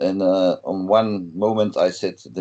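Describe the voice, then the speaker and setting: This man speaks with a Flemish accent. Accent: Flemish Dutch accent in English. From Belgium (Flanders). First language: Dutch. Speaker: metal guitarist. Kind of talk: interview. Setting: video call. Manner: halting, many fillers.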